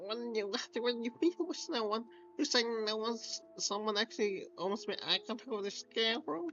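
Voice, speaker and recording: A female-sounding voice puts on a nasal character voice at a fairly high pitch and a moderate pace, with clear music playing in the background. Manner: pedantic, nitpicky.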